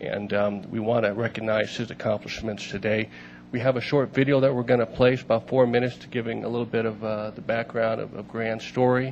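A man speaks at a fairly quick pace in a monotone, flat delivery. Light background noise sits behind him. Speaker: council official introducing an honoree. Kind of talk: formal meeting remarks. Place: hall. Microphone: podium.

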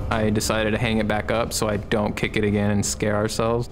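The delivery is fairly quick, with monotone, flat intonation. Noticeable background noise is present. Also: man. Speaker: interviewee telling a ghost story. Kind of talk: interview answer. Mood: tense storytelling. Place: studio.

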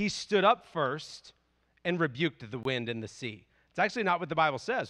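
A man with a bright, sharp tone speaks at a fairly quick pace over a quiet background. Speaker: preacher. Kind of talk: sermon. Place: church. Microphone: handheld.

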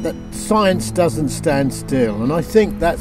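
Clear music plays behind a man talking at a fairly slow pace. The sound is dry, with no echo. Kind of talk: recorded address to a conference. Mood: warm, enthusiastic. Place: open country.

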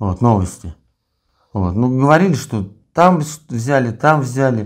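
A man, heard in a quiet setting, talks at a moderate speed, his pitch varying in an ordinary way. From Russia. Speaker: prisoner of war; interviewee. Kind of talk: interview. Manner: halting. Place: home room. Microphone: lapel.

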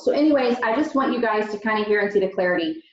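The room echo can be heard around this woman's voice. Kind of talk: team meeting talk. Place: home room. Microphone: video call.

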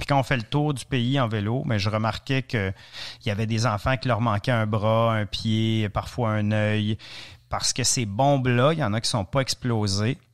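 A man speaks with an Ontario French accent at a medium pitch. The recording is very clean, with a silent background. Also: fairly even intonation, moderate pace. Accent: Franco-Ontarian French. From Ontario, francophone community. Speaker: cycling adventurer and author. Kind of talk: interview, storytelling. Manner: hesitant, repeats words.

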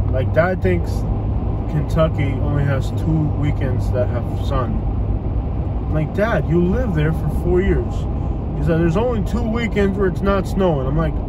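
A man talks at a moderate pace with long, frequent pauses, the sound dry with no echo over loud background noise. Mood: playful, joking. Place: car. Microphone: phone near.

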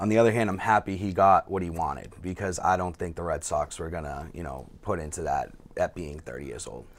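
A man with a Boston accent speaks in a very deep, low voice with vocal fry at a fairly quick pace. His pitch variation is ordinary, with hardly any pauses and big swings in loudness. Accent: Boston-area. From Massachusetts North Shore (Peabody); Massachusetts. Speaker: softball player; podcast guest. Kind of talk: casual chat. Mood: relaxed, friendly. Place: studio.

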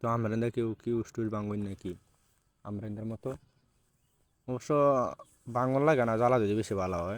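Medium pitch and fairly even intonation from a man. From Bangladesh, Mymensingh region. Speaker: vlogger. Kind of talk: casual vlog narration.

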